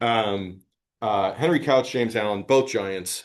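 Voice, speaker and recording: Against a quiet background, a man of medium pitch speaks at a moderate pace. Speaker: AI researcher giving a tutorial. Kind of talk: lecture. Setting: conference tutorial room. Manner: loud; casual, with filler words.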